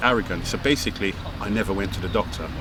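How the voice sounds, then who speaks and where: A man rattles along very fast while noticeable background noise runs underneath. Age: 60s. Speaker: personal trainer. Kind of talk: interview.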